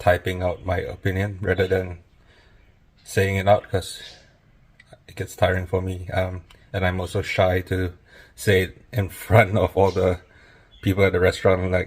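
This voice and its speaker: A man with a very deep, low pitch speaks at a fairly slow pace, somewhat breathy. His intonation is monotone and flat, broken by long, frequent pauses. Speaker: food reviewer. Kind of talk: casual vlog. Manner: shy, introverted.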